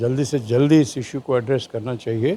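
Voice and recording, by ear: This man's voice sits at a medium pitch, with a dark, mellow tone, some vocal fry and ordinary pitch variation.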